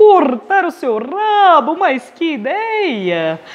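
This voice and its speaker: An extremely high-pitched, put-on character voice at a very slow pace. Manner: rich, booming radio announcer voice.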